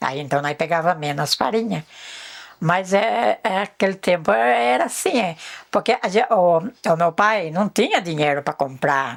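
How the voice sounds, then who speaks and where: A woman speaks at a fairly slow pace in a fairly low voice, her pitch swinging very widely. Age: 60s. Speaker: rural elder. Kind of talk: life story interview. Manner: halting.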